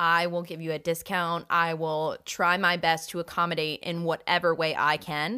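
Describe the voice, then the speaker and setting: On a very clean recording with a silent background, a woman with a fairly low pitch and a bright, sharp tone speaks in a monotone, flat way with hardly any pauses. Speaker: former customer service worker. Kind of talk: casual chat. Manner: fast talker.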